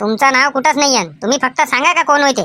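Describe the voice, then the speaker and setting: In a cartoonish character voice, a female-sounding speaker talks at a moderate pace with a high pitch. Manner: agitated, rustic village speech.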